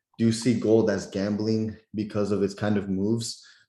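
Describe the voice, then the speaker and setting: Monotone and flat, a man's dark, mellow voice carries audible room echo. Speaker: trading mentor. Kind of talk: live webinar Q&A. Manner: casual, filler-heavy.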